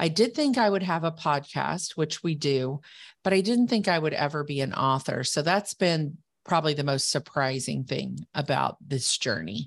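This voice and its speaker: A woman speaks with a very deep, low pitch and vocal fry. Her intonation is lively. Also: moderate pace, quiet background. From rural background. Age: 60s. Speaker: business coach and author. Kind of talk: podcast interview.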